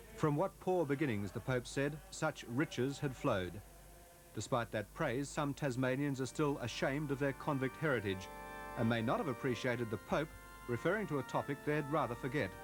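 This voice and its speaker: Lively intonation from a man at medium pitch, very even loudness and a moderate pace, with music in the background. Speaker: news reporter. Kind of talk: television news report narration.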